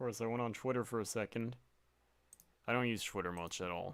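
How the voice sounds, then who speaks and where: Ordinary pitch variation in a man's speech at a medium pitch. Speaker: game developer streamer. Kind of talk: casual live stream chat. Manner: soft-spoken.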